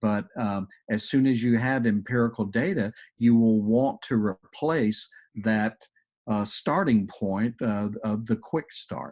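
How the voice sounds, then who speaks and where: Against a quiet background, a man with a strong Texas accent talks at a fairly slow pace and medium pitch with fairly even intonation. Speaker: agile coach. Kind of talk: webinar presentation with Q&A.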